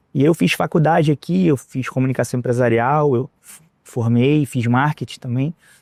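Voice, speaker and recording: A man with a Rio de Janeiro accent speaks with hardly any pauses and big swings in loudness, in a dry, close sound with no echo on a very clean recording with a silent background. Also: medium pitch for a man, ordinary pitch variation, moderate pace. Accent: Rio de Janeiro (carioca). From Rio de Janeiro, Brazil. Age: 40s. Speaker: entrepreneur. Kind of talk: interview.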